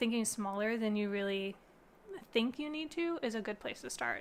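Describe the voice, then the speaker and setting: A woman talks in an unremarkable speaking voice. The recording is very clean, with a silent background. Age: 30s. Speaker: gardening youtuber. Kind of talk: live stream chat. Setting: live stream. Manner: casual with many fillers.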